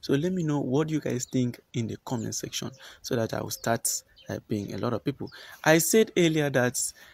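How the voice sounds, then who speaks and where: Lively intonation at a fairly quick pace, with a dry sound and no echo. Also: man. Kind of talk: casual vlog chat. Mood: earnest, persuasive. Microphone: phone near.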